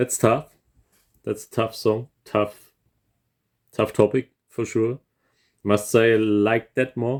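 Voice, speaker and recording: Medium-pitched male voice with a non-native accent, fairly slow, in a dry, close recording with no echo. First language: not English. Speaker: composer reacting to music. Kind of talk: casual music reaction commentary. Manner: hesitant, many fillers and repetitions.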